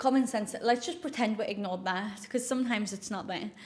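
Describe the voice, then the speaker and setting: At a fairly quick pace, the speaker sounds somewhat breathy. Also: woman. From northeast England, South Shields. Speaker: influencer and health coach. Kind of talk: casual chat to camera. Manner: chatty, with many fillers.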